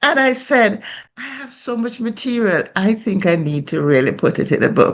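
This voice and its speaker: This voice shows vocal fry and very wide pitch swings. The pace is moderate. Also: woman, fairly high pitch for a woman. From Jamaica. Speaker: Anglican priest. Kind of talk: interview answer.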